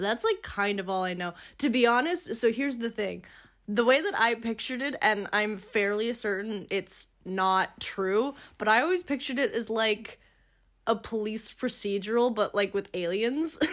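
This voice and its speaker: A woman with a plain, everyday voice, fairly high pitch, ordinary pitch variation and moderate pace, in a very clean recording with a silent background. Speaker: podcast co-host, film student. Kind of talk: casual chat.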